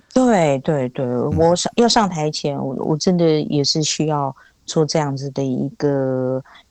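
At a fairly slow pace, a woman speaks in a very deep, low pitch with ordinary pitch variation. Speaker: singer-songwriter. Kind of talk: interview. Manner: unhurried, gentle.

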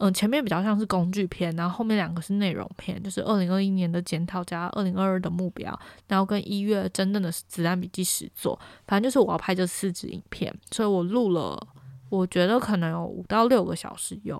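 A woman's medium-pitched voice at a fairly quick pace, fairly even in intonation, in a very clean recording with a silent background. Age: 20s. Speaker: podcast host. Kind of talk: casual solo monologue.

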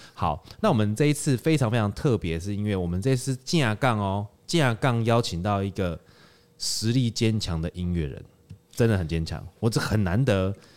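In a very clean recording with a silent background, a man with a Taiwanese accent talks at a moderate pace and a fairly low pitch. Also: lively intonation. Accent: Taiwanese Mandarin. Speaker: podcast host. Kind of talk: casual chat. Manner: animated.

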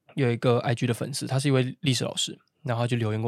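With a Taichung accent, a man at medium pitch speaks at a fairly quick pace with ordinary pitch variation and vocal fry. The very clean recording has a silent background and a dry, close sound with no echo. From Taiwan, Taichung. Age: 20s. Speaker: podcast host. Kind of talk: casual chat.

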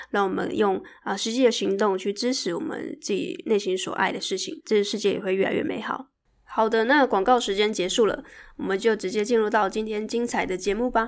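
On a very clean recording with a silent background, a woman talks at a fairly quick pace. Her pitch is fairly high, with ordinary variation. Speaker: podcast host. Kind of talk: solo podcast monologue. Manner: mumbling. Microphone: new microphone.

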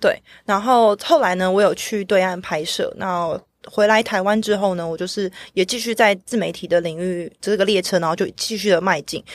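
A woman with a plain, everyday voice at a medium pitch, a moderate pace and fairly even intonation, on a very clean recording with a silent background. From Taiwan. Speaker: blockchain media creator, former cinematographer. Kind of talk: casual interview chat.

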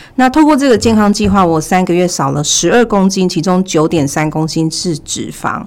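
A woman's plain, everyday voice, medium in pitch, with lively intonation at a moderate pace. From Taiwan, Taichung. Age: 40s. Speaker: former retail manager. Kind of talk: personal testimony in interview.

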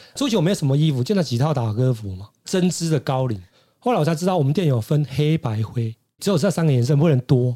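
Lively intonation from a man with a fairly high, somewhat breathy voice, dark and mellow in tone, at a very fast pace. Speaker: hairstylist. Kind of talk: casual chat.

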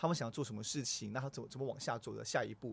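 The man's voice is somewhat breathy and fairly high in pitch. He talks at a very fast pace. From Singapore. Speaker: company general manager. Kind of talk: interview. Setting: studio. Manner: halting, repeats words.

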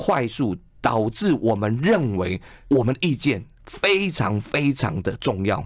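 A man speaks at a medium pitch with very wide pitch swings. The recording is very clean, with a silent background. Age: 50s. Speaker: advertising executive and author. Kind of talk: radio interview. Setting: radio studio.

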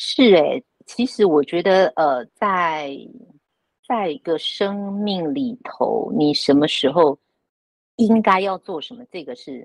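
A woman's medium-pitched voice at a very slow pace, with very wide pitch swings, big swings in loudness, and a dry, close sound with no echo. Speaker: retired newspaper journalist. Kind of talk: casual chat.

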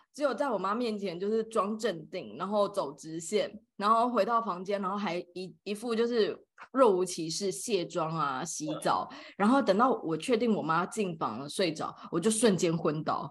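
Against a quiet background, a woman talks with an animated tone, lively intonation and medium pitch. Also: moderate pace. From Taiwan. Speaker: podcast co-host. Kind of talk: casual chat. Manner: animated, frequent laughter.

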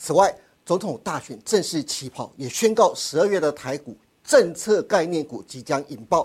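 The recording is very clean, with a silent background. Speech moves at a moderate pace. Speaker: TV finance show host. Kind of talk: sales pitch; show hosting.

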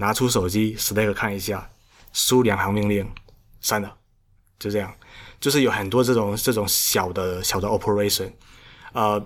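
Over a silent background in a very clean recording, a man with a fairly low pitch speaks at a moderate pace in fairly even intonation, with long, frequent pauses. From Xiamen, China. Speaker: solo startup founder. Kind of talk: casual interview chat. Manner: halting.

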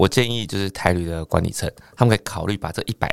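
This man speaks fairly quickly in a fairly low pitch with ordinary pitch variation, the sound dry and close with no echo. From Taiwan, Penghu islands. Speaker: stand-up comedian. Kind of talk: casual chat. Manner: calm, low-key.

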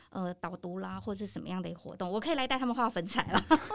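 Talking at a very fast pace in an animated tone, a woman is heard over noticeable background noise. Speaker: professional trainer and lecturer. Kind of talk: casual interview. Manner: animated, laughs often.

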